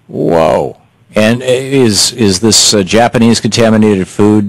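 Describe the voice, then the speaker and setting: In a quiet background with a dry sound and no echo, a man talks at a fairly slow pace in a fairly low pitch, with a plain, everyday voice. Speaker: talk radio host. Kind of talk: interview. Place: studio. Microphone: studio mic.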